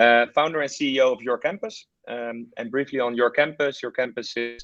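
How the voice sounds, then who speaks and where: A man with a Dutch accent talks with fairly even intonation. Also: dry, close sound with no echo. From Netherlands. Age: 30s. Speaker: startup founder and CEO. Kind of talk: webinar presentation. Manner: hesitant, many fillers.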